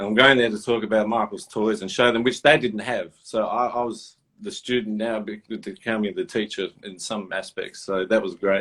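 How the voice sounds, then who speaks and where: An Australian accent marks a man's speech at a medium pitch, delivered at a moderate pace with ordinary pitch variation and hardly any pauses. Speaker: toy and sneaker collector. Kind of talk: casual interview chat. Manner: animated.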